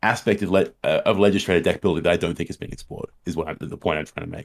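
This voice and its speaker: Recorded with a dry, close sound and no echo, a man with an Australian accent talks at a very fast pace. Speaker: co-host, academic researcher. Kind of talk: casual chat. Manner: repeats words, halting.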